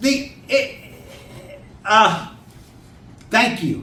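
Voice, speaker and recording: An animated male voice with an American accent and audible room echo. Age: 50s. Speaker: children's book author. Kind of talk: talk to a writers' group. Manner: animated, folksy.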